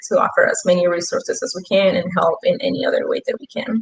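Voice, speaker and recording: At a fairly quick pace, a woman talks in a Spanish accent. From Peru. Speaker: youth ambassador, intern. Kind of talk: panel discussion.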